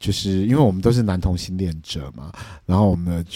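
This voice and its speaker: A man's very deep, low voice with a dark, mellow tone and ordinary pitch variation, in a very clean recording over a silent background. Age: 40s. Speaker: podcast co-host. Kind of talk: casual chat.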